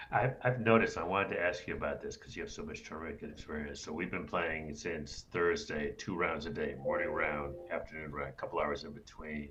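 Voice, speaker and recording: Fairly quick speech with hardly any pauses, with audible room echo and music in the background. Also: man. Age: 60s. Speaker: co-host interviewer. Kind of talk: casual chat.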